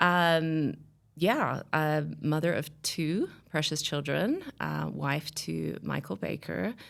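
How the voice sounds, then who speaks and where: Here a woman talks at a very slow pace. She has a slight Australian accent. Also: very clean recording, silent background. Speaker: podcast guest sharing a life story. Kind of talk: casual interview conversation.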